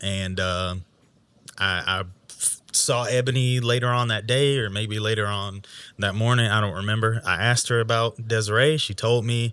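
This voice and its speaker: Using a bright, sharp tone, a man with an American accent speaks at a moderate pace and medium pitch with fairly even intonation. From Georgia, US. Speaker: podcast co-host. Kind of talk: casual chat.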